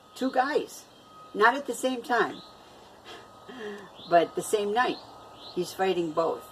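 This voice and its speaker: Noticeable background noise is present throughout. Over it, a woman talks. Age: 60s. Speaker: vlogger. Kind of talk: casual vlog talk. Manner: halting, many fillers.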